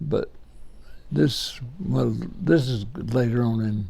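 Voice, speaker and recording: Speaking with a Southern US accent, a man has a somewhat breathy, dark, mellow tone at medium pitch. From Alabama, US. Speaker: WWII veteran, former medic. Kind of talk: interview answer.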